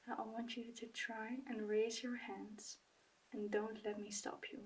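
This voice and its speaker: Soft-spoken and calm, the speaker moves at a fairly slow pace. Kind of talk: ASMR medical roleplay, soft-spoken. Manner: soft-spoken, calm, reassuring.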